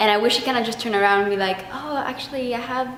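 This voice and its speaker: Noticeable background noise and audible room echo accompany a woman with an Argentine accent and ordinary pitch variation. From Argentina. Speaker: theater vlogger. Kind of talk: casual review monologue. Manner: animated.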